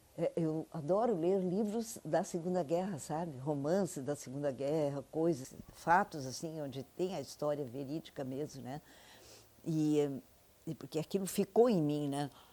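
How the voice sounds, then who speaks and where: A woman with a very deep, low pitch and a dark, mellow tone, fairly slow, with ordinary pitch variation, on a very clean recording with a silent background. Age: 80s+. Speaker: interviewee, elderly woman sharing memories. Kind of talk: oral history interview. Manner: halting.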